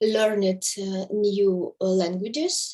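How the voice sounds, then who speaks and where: Very slow speech from a woman with a Russian accent and medium pitch. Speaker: course participant. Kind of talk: group discussion in online class. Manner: halting, many hesitations.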